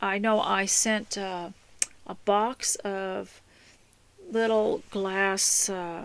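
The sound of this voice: A woman speaks at a medium pitch and a very slow pace, with fairly even intonation. Her tone is clear and smooth, touched by vocal fry.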